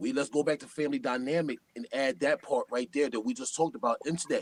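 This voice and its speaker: A man with a New York accent, fairly quick pace and lively intonation, in a dry, close sound with no echo. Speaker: hip-hop artist. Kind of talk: casual chat. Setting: live stream. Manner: animated.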